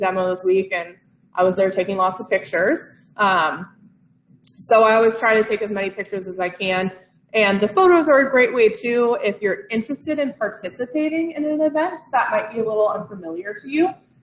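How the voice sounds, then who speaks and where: Here is a woman with a plain, everyday voice, pitched fairly high. She talks at a fairly quick pace with lively intonation. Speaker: community events staff presenter. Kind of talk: informal presentation to a live audience.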